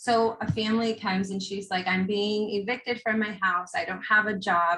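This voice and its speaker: With a normal speaking voice, a woman talks at a moderate pace. Her pitch is medium and her intonation fairly even. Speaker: workshop presenter on trauma-informed schools. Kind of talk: conference workshop presentation.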